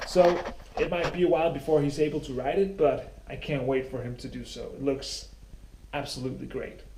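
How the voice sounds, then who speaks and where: With a Danish accent, a man speaks at a moderate pace amid audible room echo. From Denmark. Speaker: cycling vlogger. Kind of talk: casual vlog talk to camera. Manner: halting with many fillers.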